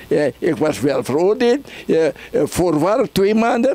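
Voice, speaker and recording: This man has a high-pitched voice and a lively intonation, and the sound is dry with no echo. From Suriname. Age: 80s+. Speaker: party chairman, politician. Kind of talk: interview. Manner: animated. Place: home room. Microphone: handheld.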